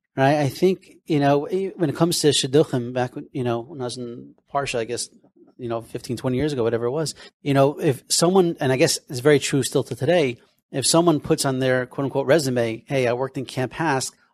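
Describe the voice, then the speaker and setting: Here a man speaks at medium pitch with ordinary pitch variation. His pace is fairly quick. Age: 40s. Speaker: podcast host. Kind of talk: interview. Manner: animated.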